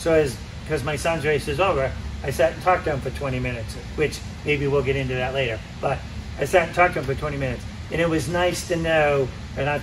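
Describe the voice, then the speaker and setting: Very fast pace in a Massachusetts accent, long, frequent pauses, noticeable background noise and audible room echo. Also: man, fairly high pitch for a man. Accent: Massachusetts, non-rhotic (drops r). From Massachusetts, US. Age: 60s. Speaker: road racer and riding coach. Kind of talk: casual chat. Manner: animated.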